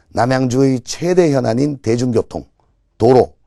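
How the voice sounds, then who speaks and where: At a very slow pace, a man talks with lively intonation in a fairly high voice with a dark, mellow tone. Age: 50s. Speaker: political candidate. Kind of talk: campaign speech. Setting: TV broadcast. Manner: formal.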